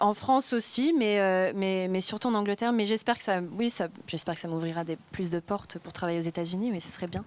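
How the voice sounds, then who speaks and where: With hardly any pauses, a woman talks at a fairly quick pace and medium pitch with ordinary pitch variation, on a very clean recording with a silent background. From Spain. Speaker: actress. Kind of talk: interview. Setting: film festival. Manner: halting, many repetitions.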